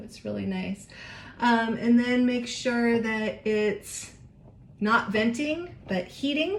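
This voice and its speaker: A woman with lively intonation, amid noticeable background noise and audible room echo. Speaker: home cooking vlogger. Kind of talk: casual cooking tutorial. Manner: chatty, informal; whispering at times.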